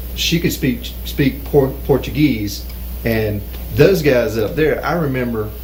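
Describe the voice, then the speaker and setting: There is noticeable background noise behind this man. He speaks very slowly in a Southern US accent. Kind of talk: casual talk show conversation.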